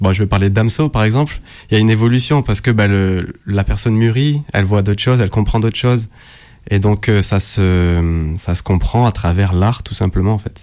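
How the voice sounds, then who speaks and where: Fairly low-pitched male voice, dark and mellow in tone, at a moderate pace, on a very clean recording with a silent background. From southern France, Nîmes. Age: 20s. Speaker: beatmaker. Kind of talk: radio interview.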